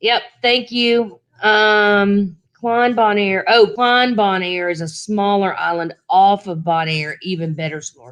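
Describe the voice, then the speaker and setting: A woman with a Southern US accent talks at a very slow pace. She hardly pauses at all. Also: medium pitch for a woman, ordinary pitch variation. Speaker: travel vlogger. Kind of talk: live stream Q&A chat. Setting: live stream. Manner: casual, halting.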